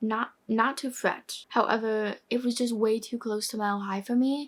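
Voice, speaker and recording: This woman has a high-pitched voice and talks at a moderate pace in a very clean recording with a silent background. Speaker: book video creator. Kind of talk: casual chat. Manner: animated.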